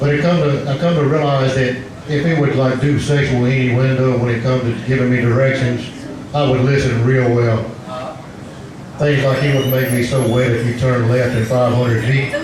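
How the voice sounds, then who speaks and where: A man speaks at a moderate pace in a monotone, flat intonation, his loudness very even. Noticeable background noise and audible room echo are present. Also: medium pitch for a man. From Louisiana swamps, Cajun country. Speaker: stand-up comedian. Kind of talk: stand-up. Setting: bar stage with audience. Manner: stuttering. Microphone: microphone cutting in and out.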